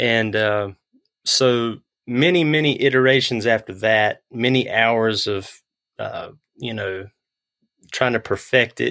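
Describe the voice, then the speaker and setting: A man speaks with a North Carolina accent in a bright, sharp tone. The recording is very clean, with a silent background. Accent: Southern US (North Carolina). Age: 30s. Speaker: guitar pick maker. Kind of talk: interview.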